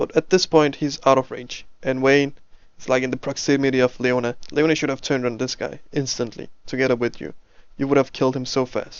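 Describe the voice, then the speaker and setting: Speaking in a non-native accent, a man talks at a fairly quick pace with monotone, flat intonation. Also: medium pitch for a man. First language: not English. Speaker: game coach and commentator. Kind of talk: replay commentary and coaching. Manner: casual, halting with self-corrections.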